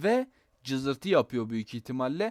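A man talks at a moderate speed. The background is silent and the recording very clean. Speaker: gaming YouTuber. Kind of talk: tutorial. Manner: casual and chatty.

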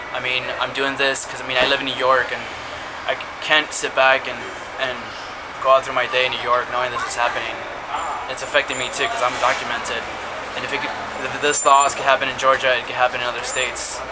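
A man rattles off his words at a very fast pace as loud background noise fills the recording. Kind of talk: personal testimony to camera. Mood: earnest, emotional. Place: street. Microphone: phone near.

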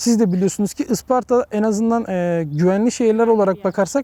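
Very fast, a man talks in a high pitch with a dark, mellow tone and ordinary pitch variation, the sound dry and close with no echo in a very clean recording with a silent background. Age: 20s. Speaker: civil engineering student. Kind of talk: interview.

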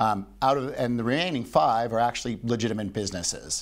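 A man with a Canadian accent speaks fairly quickly with fairly even intonation over a quiet background. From Canada. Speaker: business executive and investor; guest. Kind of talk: interview. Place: studio. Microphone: lapel.

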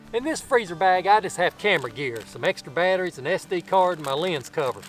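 A man's high-pitched voice at a fairly quick pace, dry with no echo, faint music playing in the background. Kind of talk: tutorial. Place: forest.

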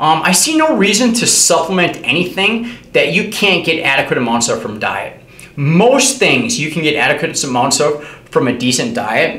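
Fairly quick male speech amid audible room echo. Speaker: fitness educator. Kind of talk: lecture. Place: home room.

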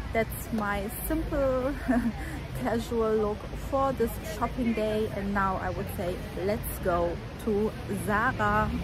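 The speech moves at a very slow pace. The sound is dry with no echo, but background noise is noticeable. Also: woman. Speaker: fashion vlogger. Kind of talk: casual vlog chat. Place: street. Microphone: phone near.

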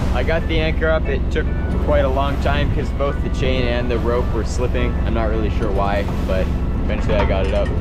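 A woman at a fairly quick pace over background music, the sound dry with no echo. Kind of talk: casual vlog chat. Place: boat. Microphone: phone near.

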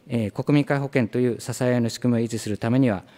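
A man's voice, dark and mellow in tone. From Japan. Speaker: government official. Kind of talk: formal parliamentary answer. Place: meeting room. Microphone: podium.

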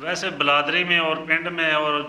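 A man speaks at a fairly high pitch, his voice carrying audible room echo. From Pakistani Punjab, Mandi Bahauddin. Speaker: former prisoner. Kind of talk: interview testimony. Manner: halting.

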